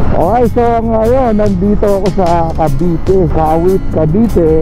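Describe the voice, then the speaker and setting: The sound is dry with no echo, and clear music plays in the background. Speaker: motovlogger. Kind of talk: casual vlog chat. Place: motorbike.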